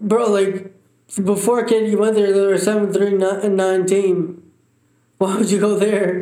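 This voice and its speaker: A man's high-pitched, dark, mellow voice at a fairly slow pace, monotone and flat in intonation, with very even loudness and audible room echo. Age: 20s. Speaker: accident survivor and father. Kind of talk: casual chat. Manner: slurred speech from injury.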